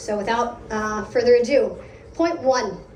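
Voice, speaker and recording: A very slow delivery in an American accent, with ordinary pitch variation, audible room echo and noticeable background noise. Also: woman. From United States. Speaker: product lead speaker at a meetup. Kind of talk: conference talk.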